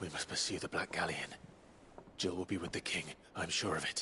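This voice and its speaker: A man puts on a character voice with a very deep, low pitch at a fairly quick pace. Clear background noise sits behind him. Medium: video game. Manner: calm, steady.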